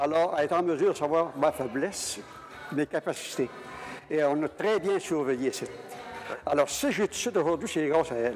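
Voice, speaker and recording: Long, frequent pauses from a man with ordinary pitch variation, plus noticeable background noise. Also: fairly high pitch for a man, moderate pace. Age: 80s+. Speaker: senior program participant. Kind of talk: interview testimony.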